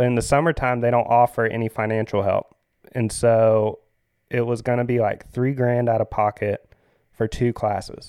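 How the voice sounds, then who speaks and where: A man in a Southern US accent at a moderate pace, medium-pitched and monotone with flat intonation, his loudness very even, in a dry, close sound with no echo and a quiet background. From US South, Florida Panhandle (Pensacola/Pace). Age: 30s. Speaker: surf shop manager and surf camp leader. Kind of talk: casual interview. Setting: studio. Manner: hesitant, many fillers.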